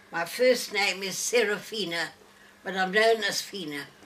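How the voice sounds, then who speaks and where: Amid noticeable background noise, a woman speaks at a fairly slow pace. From Northern Rhodesia (Zambia), Lusaka. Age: 90s. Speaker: elderly interviewee telling life story. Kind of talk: personal life story to small audience. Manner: halting.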